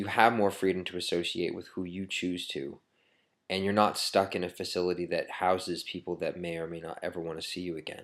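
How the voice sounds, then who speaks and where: Very clean, with a silent background, the recording captures a man with a very deep, low pitch. He talks at a fairly quick pace in a monotone, flat manner. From Maine, US. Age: 30s. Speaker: video blogger. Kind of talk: personal testimony to camera. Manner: halting, many fillers.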